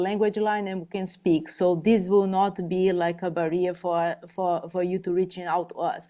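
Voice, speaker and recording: With a Portuguese accent, a woman speaks at medium pitch in a dark, mellow tone with fairly even intonation. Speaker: behavioral health navigator. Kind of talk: parent information webinar. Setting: online webinar. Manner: halting, repeats words.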